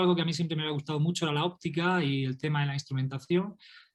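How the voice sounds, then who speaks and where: A man with a Murcian accent, fairly high-pitched, his intonation fairly even. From Spain, Murcia. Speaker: astrophysicist and author. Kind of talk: interview.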